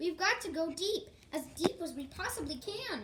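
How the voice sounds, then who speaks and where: A woman's squeaky put-on character voice, extremely high in pitch, raised and projected, at a moderate pace over clear background noise. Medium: read story.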